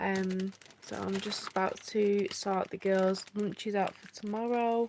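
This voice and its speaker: A woman speaks with a British accent at a medium pitch. Her intonation is monotone and flat. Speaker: family vlogger. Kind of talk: casual live-stream chat. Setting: live stream at home.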